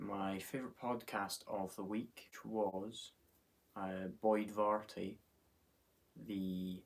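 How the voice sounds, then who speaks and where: At a very slow pace, a man speaks in a monotone, flat intonation, leaving long, frequent pauses. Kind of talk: casual talk to camera.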